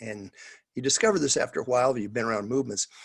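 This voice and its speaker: A man's voice, dry and close, with no echo. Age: 60s. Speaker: pastor and missions trainer. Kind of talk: coaching talk on a video call. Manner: halting, many fillers and restarts.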